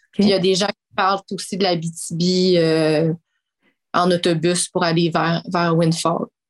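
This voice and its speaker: Speech comes very slowly in a monotone, flat intonation, with a dry, close sound and no echo. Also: woman, fairly low pitch for a woman. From Quebec City, Quebec. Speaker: mining community relations director. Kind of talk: interview. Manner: halting.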